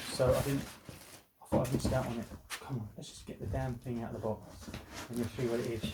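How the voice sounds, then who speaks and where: A man with a British accent talks very fast at a medium pitch, with long, frequent pauses. His intonation is fairly even, but his loudness swings a lot. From UK. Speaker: toy collector YouTuber. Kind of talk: unboxing video. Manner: casual, chatty; hesitant, fillers.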